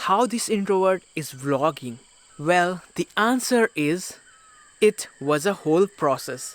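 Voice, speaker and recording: In an Indian accent, a man speaks very slowly at a high pitch with lively intonation. The sound is dry and close, with no echo. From India, Uttarakhand hills. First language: Garhwali. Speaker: travel vlogger. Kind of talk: casual vlog talk to camera. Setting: village home.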